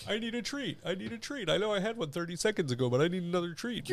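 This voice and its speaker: In a put-on character voice, a man rattles along at a very fast pace and a high pitch. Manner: dopey, pleading.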